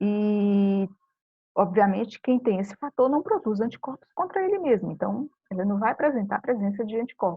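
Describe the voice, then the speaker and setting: Ordinary pitch variation runs through a somewhat breathy voice. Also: woman. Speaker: biology teacher. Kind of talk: recorded lecture. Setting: home video recording.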